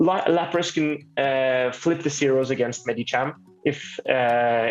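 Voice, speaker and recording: A man with a non-native accent speaks at a fairly high pitch. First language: not English. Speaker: Pokemon Go player. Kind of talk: casual chat. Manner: halting.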